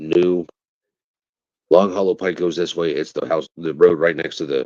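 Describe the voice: A man's low voice at a moderate pace, fairly even in intonation, with a slightly mellow tone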